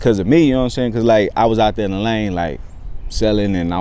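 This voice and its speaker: In audible room echo, a man with an American accent talks at a very fast pace, his pitch fairly low with ordinary variation. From Texas, San Antonio east side. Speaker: rapper and actor. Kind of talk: casual interview.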